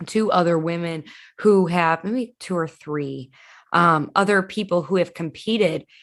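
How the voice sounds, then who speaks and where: Here is a woman with a plain, everyday voice. Her pitch is fairly low, with ordinary variation. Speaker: podcast host. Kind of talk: interview question.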